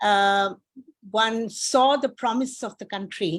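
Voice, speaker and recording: Speech comes at a very slow pace with ordinary pitch variation, captured in a very clean recording against a silent background. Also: woman. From India. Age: 80s+. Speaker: professor. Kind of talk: audience comment. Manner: halting.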